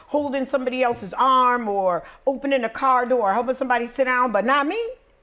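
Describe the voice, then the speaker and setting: Loud and animated, a woman speaks at a high pitch with lively intonation on a very clean recording with a silent background. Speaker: podcast host. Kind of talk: casual chat.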